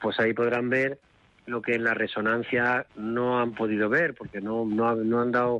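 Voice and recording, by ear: A man talks at a medium pitch with little pitch movement. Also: moderate pace.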